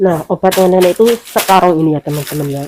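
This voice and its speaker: Dry and close with no echo, a woman's voice sits fairly low in pitch with a dark, mellow tone. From Indonesia. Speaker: domestic worker vlogger. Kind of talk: casual vlog talk.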